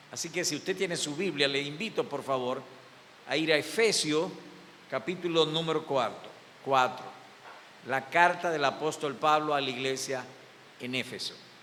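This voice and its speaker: A man talks with ordinary pitch variation and long, frequent pauses, and audible room echo surrounds his voice. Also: fairly high pitch for a man, moderate pace. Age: 70s. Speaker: pastor. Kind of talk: sermon.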